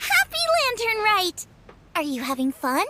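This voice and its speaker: Putting on a squeaky character voice, a woman speaks at an extremely high pitch and moderate pace with a bubbly, warm tone, in a dry, close sound with no echo. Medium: video game.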